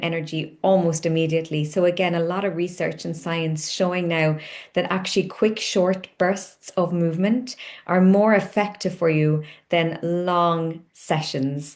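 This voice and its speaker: With a Cork accent, a woman speaks in a fairly even intonation. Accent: Cork Irish. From Ireland, Cork. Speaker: company founder, wellness coach. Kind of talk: onboarding tutorial.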